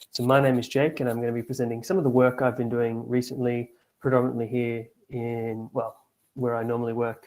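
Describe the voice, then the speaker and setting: A man keeps a monotone, flat intonation at medium pitch while speaking at a fairly quick pace. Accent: Australian. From Australia, Victoria. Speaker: astronomer. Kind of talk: lecture.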